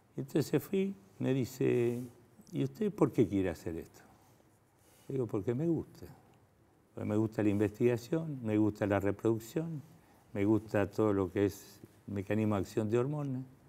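A man with an Argentine accent speaks at a moderate pace with long, frequent pauses, his fairly low, dark and mellow voice carrying lively intonation. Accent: Argentine Spanish (Rioplatense). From Argentina. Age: 70s. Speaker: fertility doctor. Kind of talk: interview. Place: studio.

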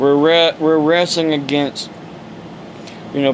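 A very slow man with an American accent and fairly high pitch, fairly even intonation, light background noise. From Ohio, US. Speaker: evangelist preacher. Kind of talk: preaching rant, angry and indignant, scolding critics. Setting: home video monologue to camera. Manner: agitated, emphatic, ranting, scolding; rambling, hesitant with fillers. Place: home room. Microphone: phone near.

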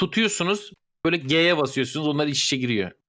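A man speaks very fast in a fairly high voice with vocal fry. The recording is very clean, with a silent background. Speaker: gamer friend. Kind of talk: casual chat, party game.

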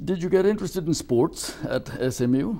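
The pace is moderate as a man talks. He has a dark, mellow tone. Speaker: interviewer. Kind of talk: formal interview. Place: studio.

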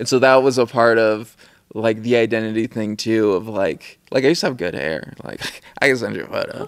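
This man talks at a fairly quick pace with ordinary pitch variation. The background is quiet. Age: 30s. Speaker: filmmaker and photographer; interview guest. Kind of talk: casual chat. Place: studio. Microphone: studio mic.

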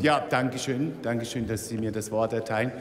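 A man's voice carries ordinary pitch variation. The recording has audible room echo and light background noise. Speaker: member of parliament. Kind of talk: parliament oratory, a short pointed question. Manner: sharp, sarcastic and provocative. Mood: pointed, mildly mocking. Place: hall. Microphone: podium.

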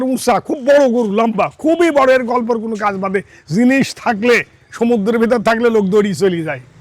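An extremely high-pitched man's voice with ordinary pitch variation and noticeable background noise. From Bangladesh, Pabna (Ishwardi). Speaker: cattle farmer and dealer. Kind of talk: casual sales pitch on a farm.

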